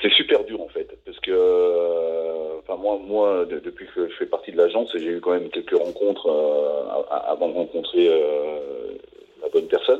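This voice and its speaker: Amid noticeable background noise, a man speaks fairly slowly with big swings in loudness. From Savoie, France. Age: 50s. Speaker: interviewee. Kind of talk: interview. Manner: halting, repetitive.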